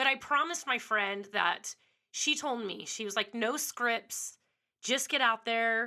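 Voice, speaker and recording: Her tone bright and sharp, a woman speaks fairly slowly at a fairly high pitch with ordinary pitch variation. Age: 40s. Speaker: podcast host, former radio host. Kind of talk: casual monologue. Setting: home studio. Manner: unscripted, a little all over the place.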